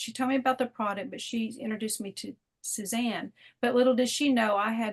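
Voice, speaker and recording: A somewhat breathy woman with a fairly high pitch, a moderate pace, and a quiet background. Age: 50s. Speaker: wellness product distributor. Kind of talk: testimony. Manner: animated.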